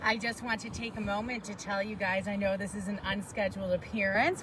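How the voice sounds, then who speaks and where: A woman with a medium pitch and fairly even intonation talks at a moderate pace, noticeable background noise behind her. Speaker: paranormal and history tour guide. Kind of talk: live outdoor talk to camera. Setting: outdoors at a monument in a traffic circle. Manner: loud.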